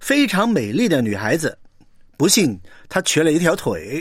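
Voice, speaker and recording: With very wide pitch swings, a man talks at a moderate pace on a very clean recording with a silent background. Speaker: preacher. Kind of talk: sermon.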